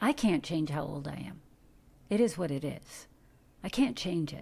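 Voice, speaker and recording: A woman with an American accent has a very deep, low pitch, a dark, mellow tone, vocal fry and lively intonation. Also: moderate pace, big swings in loudness. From US Midwest, Detroit, Michigan. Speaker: actor. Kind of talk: interview conversation. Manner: animated.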